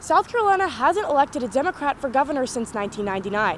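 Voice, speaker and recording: A woman's voice with very wide pitch swings, over noticeable background noise. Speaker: student news reporter. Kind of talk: news reading. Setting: outdoors.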